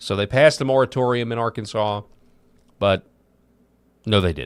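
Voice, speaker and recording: A man at medium pitch talks at a moderate pace with ordinary pitch variation. The recording is very clean, with a silent background. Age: 40s. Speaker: political commentary host. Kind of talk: casual commentary. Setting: video show on camera. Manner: halting.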